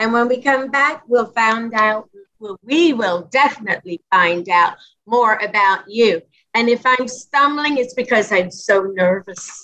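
At a fairly slow pace, a woman speaks in a fairly high pitch with a bright, sharp tone. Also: ordinary pitch variation. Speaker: talk show host. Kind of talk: interview hosting.

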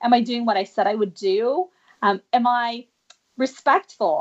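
This woman has a normal speaking voice with a fairly high pitch. She talks at a moderate pace. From Canada, Vancouver. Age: 40s. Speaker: dancer and life coach. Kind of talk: interview.

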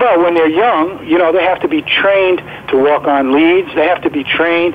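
Against noticeable background noise, a man talks with an American accent. His pitch is high, with ordinary variation. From New York. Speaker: former greyhound trainer and online greyhound resource. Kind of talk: interview, informative conversation.

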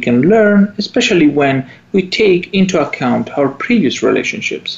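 Someone speaks with an Italian accent at a moderate pace. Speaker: psychologist and radio show co-host. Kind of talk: radio talk show. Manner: halting, with fillers and repetitions.

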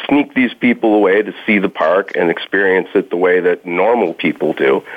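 A man speaks at a moderate pace. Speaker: naturalist. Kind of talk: casual interview.

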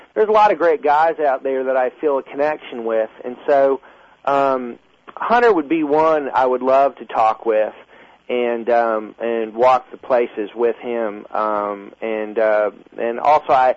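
At a fairly slow pace, a man talks in a normal speaking voice at medium pitch with ordinary pitch variation. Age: 30s. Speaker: Civil War reenactor and filmmaker. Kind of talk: radio interview.

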